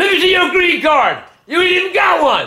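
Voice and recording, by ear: With very wide pitch swings and a bright, sharp tone, a raised, shouting voice rings out amid strong room echo. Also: man, extremely high pitch for a man, moderate pace.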